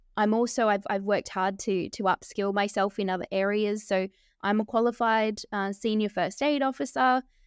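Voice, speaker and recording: A woman with an Australian accent talks at a moderate pace and with fairly even intonation. The sound is dry and close, with no echo. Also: medium pitch for a woman, very clean recording, silent background. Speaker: documentary filmmaker. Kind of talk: interview.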